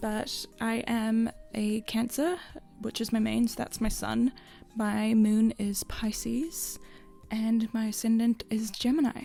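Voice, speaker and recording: Very slow, fairly high-pitched speech from a woman with a New Zealand accent and fairly even intonation. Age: 20s. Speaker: gaming content creator. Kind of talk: casual chat.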